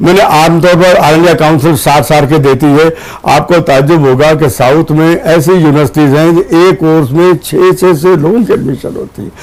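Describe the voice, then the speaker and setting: A man's fairly high voice with hardly any pauses and ordinary pitch variation, over noticeable background noise. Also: moderate pace. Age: 80s+. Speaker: university chancellor. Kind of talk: TV interview. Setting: studio.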